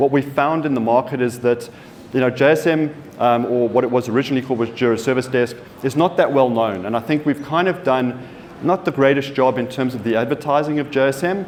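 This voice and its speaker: Over noticeable background noise, a man talks at a very fast pace with a South African accent. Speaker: software company partner manager. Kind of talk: conference presentation. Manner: halting, many fillers and repeats.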